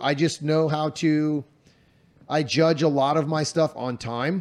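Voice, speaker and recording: A man speaks in an unremarkable speaking voice, fairly high in pitch, with fairly even intonation. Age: 40s. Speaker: shooting coach and podcast host. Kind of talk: casual chat. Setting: Airbnb living room, on couches.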